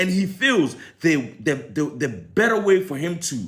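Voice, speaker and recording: An animated man with an American accent talks at a high pitch, swinging very widely in pitch. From Ghana. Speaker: commentator. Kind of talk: opinion commentary vlog.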